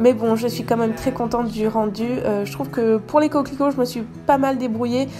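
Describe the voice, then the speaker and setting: Music plays in the background as a woman with a fairly high pitch speaks at a moderate pace. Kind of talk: voice-over craft video narration. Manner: casual, hesitant.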